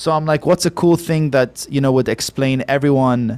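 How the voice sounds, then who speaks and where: On a very clean recording with a silent background, a man speaks at a moderate pace and medium pitch, the sound dry and close with no echo. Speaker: vocalist and music producer. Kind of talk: casual interview chat. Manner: joking, animated.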